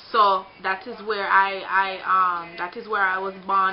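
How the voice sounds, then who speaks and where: There is noticeable background noise as a woman with a Jamaican accent speaks at a medium pitch. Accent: Jamaican accent, kept. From Jamaica, Kingston. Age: 20s. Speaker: vlogger. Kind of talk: casual vlog monologue. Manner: halting, repetitive.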